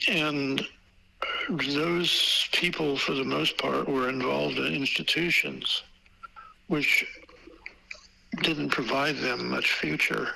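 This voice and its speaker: Speech with an American accent unfolds at a very slow pace, broken by long, frequent pauses, over noticeable background noise. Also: man. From California, US. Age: 80s+. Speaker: photographic historian and collector. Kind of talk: interview. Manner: halting, many fillers and repeats.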